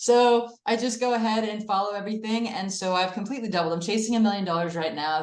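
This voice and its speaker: A woman speaks at a fairly quick pace. Room echo is audible around her. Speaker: acupuncturist. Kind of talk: testimony. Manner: fast.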